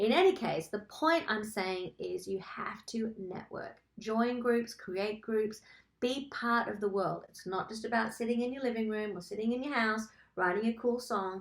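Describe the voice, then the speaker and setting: Speaking at a moderate pace, a woman with an Australian accent has a fairly high pitch, an animated tone and ordinary pitch variation. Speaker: songwriter and songwriting coach. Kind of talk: webinar tutorial. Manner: casual and animated.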